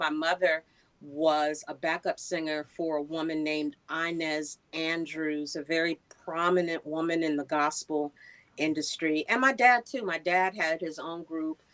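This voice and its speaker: A woman speaks in an ordinary speaking voice at a fairly low pitch. Her intonation is fairly even and her pace fairly slow. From New York (Queens). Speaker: voiceover artist and radio personality. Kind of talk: interview.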